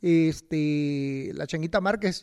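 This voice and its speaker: With a Mexican accent, a man speaks with ordinary pitch variation in a very clean recording with a silent background. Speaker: boxing podcast host. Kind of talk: casual interview chat. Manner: halting, many repetitions.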